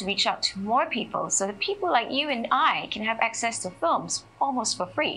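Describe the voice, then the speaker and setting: The speaker talks at a moderate pace. Faint music plays in the background. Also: woman. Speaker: festival host. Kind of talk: ceremony welcome remarks. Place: studio. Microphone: handheld.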